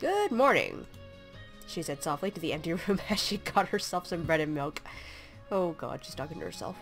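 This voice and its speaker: Music plays in the background as the speaker moves along at a fairly quick pace. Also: woman. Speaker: let's play gamer. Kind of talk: casual game commentary with text read-aloud.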